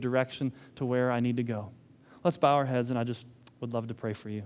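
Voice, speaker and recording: A man speaking at a fairly quick pace in a very clean recording with a silent background. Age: 40s. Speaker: pastor. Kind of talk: sermon. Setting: church. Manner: halting.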